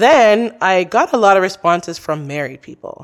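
Speaking at a fairly slow pace with lively intonation, a woman with a plain, everyday voice is captured on a very clean recording with a silent background. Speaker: podcaster. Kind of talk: casual interview chat. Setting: studio.

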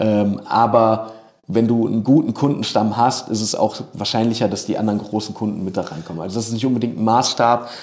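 Speaking at a fairly quick pace, a man with a medium pitch keeps his intonation fairly even. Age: 30s. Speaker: video producer. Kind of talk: interview. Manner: frequent filler sounds and hesitations.

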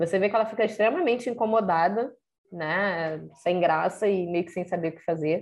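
There is vocal fry as a woman talks at a fairly quick pace with ordinary pitch variation. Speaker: podcast co-host. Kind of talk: casual chat.

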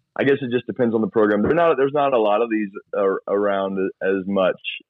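Pitched fairly low, a man talks at a fairly quick pace, his pitch varying in an ordinary way. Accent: slight Southern US. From US South (Georgia, then Florida). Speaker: youth and children's pastor, puppeteer. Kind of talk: casual interview chat.

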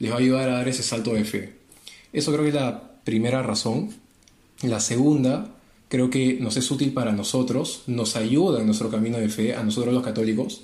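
Speaking at a moderate pace, a man with a medium pitch and fairly even intonation sounds somewhat breathy, with audible room echo. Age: 20s. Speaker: apologetics co-presenter, industrial engineer. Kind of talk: casual religious discussion.

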